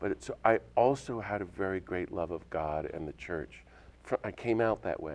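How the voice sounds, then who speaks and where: This man has a plain, everyday voice with an American accent and a fairly low pitch. He talks at a moderate pace with lively intonation. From US South. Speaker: priest and nonviolent activist. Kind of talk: interview.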